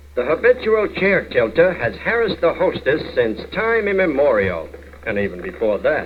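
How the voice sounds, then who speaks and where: With noticeable background noise around him, a man speaks at a moderate pace. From United States. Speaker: narrator. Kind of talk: comedy short film narration. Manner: dry, wry.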